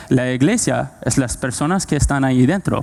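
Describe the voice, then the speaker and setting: A dark, mellow tone with ordinary pitch variation. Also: man. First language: not Spanish (speaking Spanish). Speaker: preacher. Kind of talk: sermon. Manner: halting, many fillers.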